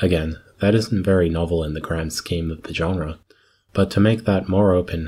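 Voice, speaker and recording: At a moderate pace, a man speaks with a very deep, low pitch, a somewhat breathy voice and fairly even intonation. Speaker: community radio host. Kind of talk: radio dj patter. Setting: studio. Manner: chatty, conversational.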